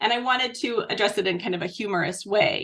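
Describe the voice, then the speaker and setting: A woman's voice over noticeable background noise. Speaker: picture book author. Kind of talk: interview.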